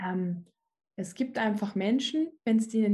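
At a moderate pace, a woman speaks at medium pitch in a dark, mellow tone that is somewhat breathy. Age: 20s. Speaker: personal development coach. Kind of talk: casual interview chat.

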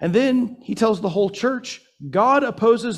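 A man with an American accent speaks at a fairly slow pace. His pitch is high. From US South, Atlanta, Georgia. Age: 40s. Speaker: church elder, preacher. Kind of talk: sermon. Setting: church service, also streamed on Zoom.

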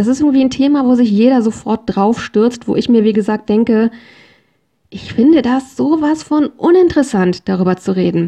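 This woman's fairly high voice has a dark, mellow tone and lively intonation. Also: moderate pace. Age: 40s. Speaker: podcast host. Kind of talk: solo podcast monologue.

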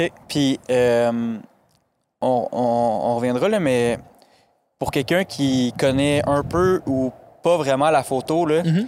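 Very slow and marked by long, frequent pauses, a man's speech sits at a medium pitch with ordinary pitch variation. His loudness stays very even in a very clean recording with a silent background. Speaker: podcast host. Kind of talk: casual chat. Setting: studio.

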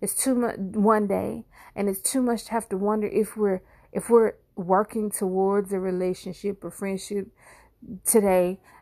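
The recording is very clean with a silent background. The voice has a dark, mellow tone and fairly even intonation. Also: woman. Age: 40s. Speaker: podcast host. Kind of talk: personal monologue. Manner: halting.

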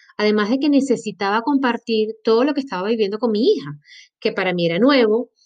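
A woman with a Maracaibo accent talks at a fairly quick pace, her fairly high pitch showing ordinary variation. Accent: Venezuelan Spanish (Maracaibo). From Venezuela, Maracaibo. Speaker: podcast host and health coach. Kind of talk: personal monologue. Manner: animated.

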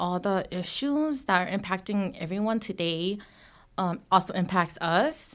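A woman's plain, everyday voice with an American accent, medium pitch, lively intonation and a fairly slow pace, on a very clean recording with a silent background. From US, Hmong American community. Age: 20s. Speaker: advocacy program director. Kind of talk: interview.

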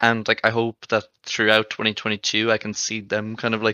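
A man speaks at a medium pitch with an Irish accent, his intonation flat and monotone. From Ireland. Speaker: esports journalist volunteer. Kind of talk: casual chat.

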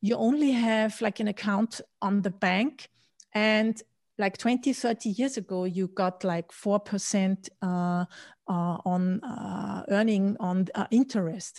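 A woman with a German accent, somewhat breathy and very slow, in a dry, close sound with no echo. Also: medium pitch for a woman, ordinary pitch variation. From Austria. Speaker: Bitcoin podcaster and author. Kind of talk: interview. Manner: halting with many fillers.

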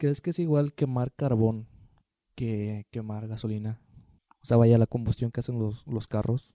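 A man speaks at a fairly slow pace with a medium pitch and fairly even intonation. His tone is dark and mellow, and the sound is dry and close with no echo. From Tampico, Mexico. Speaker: podcast co-host. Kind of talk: casual chat.

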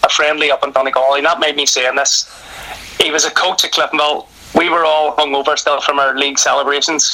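Speaking very fast in a fairly high voice, a man is heard through noticeable background noise. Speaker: retired footballer and football coach. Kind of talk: casual interview.

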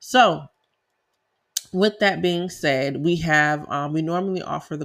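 The speaker has an American accent and a fairly slow pace. The recording is very clean, with a silent background. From South Carolina. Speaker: tax preparer and podcast host. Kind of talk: casual educational talk, podcast monologue. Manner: conversational, filler-heavy.

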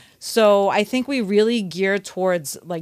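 A woman with a slight Brooklyn accent speaks at a moderate pace with ordinary pitch variation. The recording is very clean, with a silent background. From Brooklyn, New York. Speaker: personal trainer and kickboxing instructor. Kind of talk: interview.

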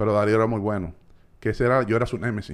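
This man has a fairly low-pitched voice with a Dominican accent. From Dominican Republic, Santo Domingo. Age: 40s. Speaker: entrepreneur. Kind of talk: casual chat.

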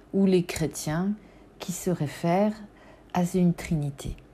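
The voice moves at a very slow pace with fairly even intonation. Its tone is dark, mellow and somewhat breathy. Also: woman. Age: 40s. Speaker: podcast host on symbolism and spirituality. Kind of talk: personal reflective monologue. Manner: hesitant, with fillers and repetitions.

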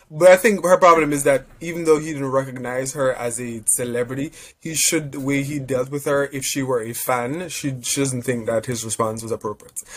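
A man at a fairly quick pace with hardly any pauses, medium pitch and ordinary pitch variation, amid noticeable background noise. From Jamaica. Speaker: podcast co-host. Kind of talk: casual chat.

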